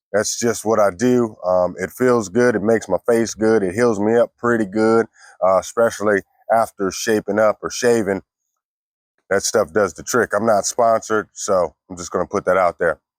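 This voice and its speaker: In a very clean recording with a silent background and a dry, close sound with no echo, a man with an ordinary speaking voice talks at a moderate pace, with fairly low pitch and fairly even intonation. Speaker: fishing youtuber. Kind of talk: tutorial.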